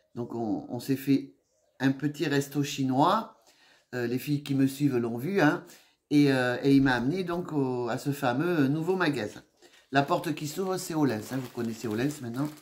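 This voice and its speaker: A woman with a very deep, low voice speaks fairly slowly with lively intonation. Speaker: haul vlogger. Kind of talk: casual chat. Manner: hesitant, many fillers.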